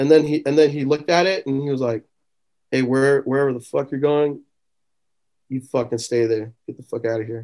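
Speaking with an American accent, a man has a medium pitch, a slightly mellow tone and fairly even intonation. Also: moderate pace.

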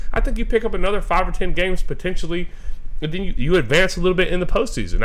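Audible room echo surrounds a man who speaks at a fairly high pitch with lively intonation. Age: 20s. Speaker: podcast co-host. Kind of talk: casual chat.

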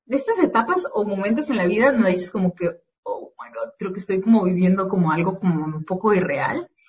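Here a woman is speaking. Her pace is moderate. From Mexico, Morelia, Michoacán. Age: 20s. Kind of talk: casual interview.

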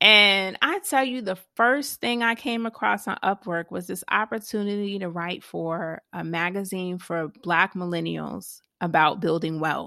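Against a quiet background, a woman with a bright, sharp tone speaks at a medium pitch and a fairly slow pace, with ordinary pitch variation and hardly any pauses. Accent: Southern US. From US South, Georgia (Savannah). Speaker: money coach and property investor. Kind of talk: interview.

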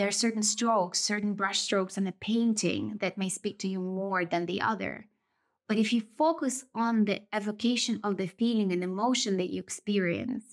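In a very clean recording with a silent background, a woman with a Russian accent speaks at a moderate pace with ordinary pitch variation. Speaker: podcast host. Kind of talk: solo reflective monologue. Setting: indoors, rural village with background noise.

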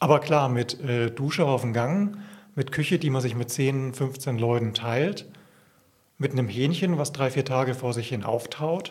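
A man's medium-pitched, somewhat breathy voice unfolds at a fairly slow pace. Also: ordinary pitch variation. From Franconia, Bavaria (Coburg region). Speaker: pastor. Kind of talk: casual interview.

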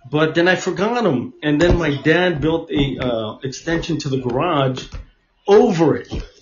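A man speaks at a fairly slow pace with a fairly high pitch and lively intonation. There is audible echo from the room. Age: 40s. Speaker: podcast host. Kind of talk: casual chat.

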